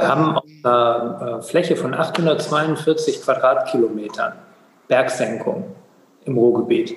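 A man speaking at a very slow pace, with long, frequent pauses and noticeable background noise. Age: 40s. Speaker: water authority executive, former mayor. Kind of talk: interview.

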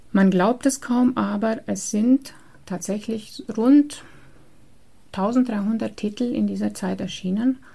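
Somewhat breathy with a dark, mellow tone, a woman speaks at a very slow pace with long, frequent pauses. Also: fairly high pitch for a woman, ordinary pitch variation. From Transylvania, Romania. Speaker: librarian and exhibition curator. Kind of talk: interview. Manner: hesitant, many fillers.

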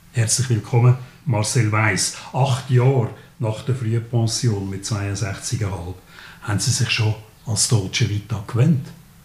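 In a Swiss accent, a man speaks at a very slow pace with a medium pitch and fairly even intonation. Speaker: podcast host. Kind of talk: interview.

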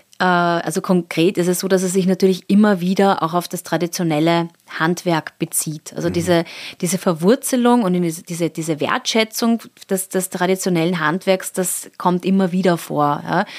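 A woman with an ordinary speaking voice, fairly low in pitch, with fairly even intonation and a moderate pace, on a very clean recording with a silent background. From Austria, Salzburg. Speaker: art curator. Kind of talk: interview.

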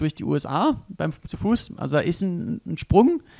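A man talks in a high voice. The recording is very clean, with a silent background and a dry, close sound that has no echo. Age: 30s. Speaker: extreme endurance athlete and adventurer. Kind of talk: casual interview. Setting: hotel room.

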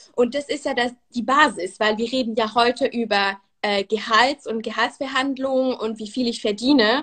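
A woman with a high pitch speaks at a moderate pace, her intonation fairly even and hardly any pauses in between. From Switzerland. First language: Swiss German and French (speaking German). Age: 20s. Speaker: brand manager, course participant. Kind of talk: interview. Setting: live online interview. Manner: hesitant, many fillers.

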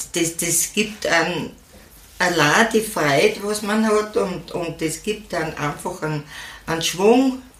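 In an Austrian accent, a woman speaks at a very slow pace with medium pitch and ordinary pitch variation, amid noticeable background noise and audible room echo. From Austria, Styria. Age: old. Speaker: senior horse rider and podcaster. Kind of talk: interview. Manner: halting.

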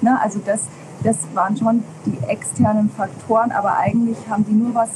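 Noticeable background noise sits behind the speech. The woman's voice is fairly high. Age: 40s. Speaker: parenting podcaster and parent coach. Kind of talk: interview.

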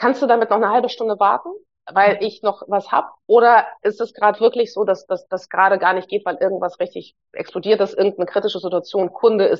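A woman with a Hamburg accent talks at a fairly quick pace in a medium pitch. Her intonation stays fairly even. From Hamburg, Germany (born in Moscow, moved at nine). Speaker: psychologist and leadership coach. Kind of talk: casual interview conversation.

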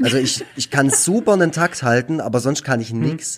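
A man with an unremarkable speaking voice, medium in pitch, at a moderate pace. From Baden-Württemberg, Germany (Nagold). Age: 30s. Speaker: cartoonist and youth care worker. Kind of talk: casual chat.

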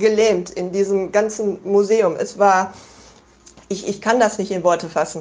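The woman's voice sits at a medium pitch. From Germany. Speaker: listener sending voice message. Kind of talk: personal testimony. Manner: halting.

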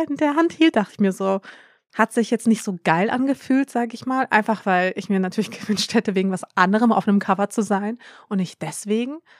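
With a plain, everyday voice, a woman talks fairly quickly at a fairly high pitch with lively intonation, in a very clean recording with a silent background and a dry, close sound with no echo. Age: 30s. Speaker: influencer. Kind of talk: casual chat.

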